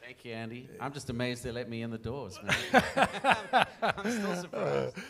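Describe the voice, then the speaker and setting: A man in a South African accent at a medium pitch and moderate pace, with lively intonation, big swings in loudness, and noticeable background noise. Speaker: songwriter. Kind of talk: interview on stage. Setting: stage with audience; church.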